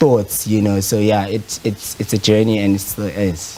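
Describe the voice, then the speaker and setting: Noticeable background noise runs behind a man with a Zulu accent. His fairly low pitch stays monotone and flat. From South Africa. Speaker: photographer. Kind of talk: interview. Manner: hesitant, many fillers.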